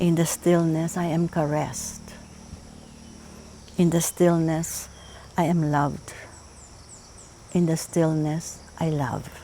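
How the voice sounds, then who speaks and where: In a room with audible echo and noticeable background noise, the voice moves at a very slow pace with a monotone, flat intonation and long, frequent pauses. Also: woman, fairly low pitch for a woman. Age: 70s. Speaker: psychologist. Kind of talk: talk.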